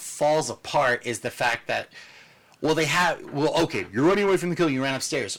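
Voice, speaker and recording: An ordinary speaking voice from a man. The pitch is fairly high, with lively intonation. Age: 30s. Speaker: podcast co-host. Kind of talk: casual chat. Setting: in person together, not on video call.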